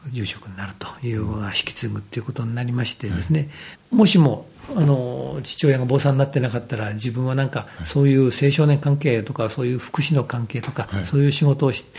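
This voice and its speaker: Against noticeable background noise, a man speaks fairly quickly with lively intonation. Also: medium pitch for a man. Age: 50s. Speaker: Buddhist temple priest. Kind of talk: radio talk. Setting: temple room. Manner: polite, formal.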